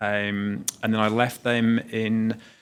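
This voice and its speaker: A man speaks very slowly with a British accent. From United Kingdom. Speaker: tourism executive. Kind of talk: interview. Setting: travel trade event in Las Vegas. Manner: hesitant, many fillers.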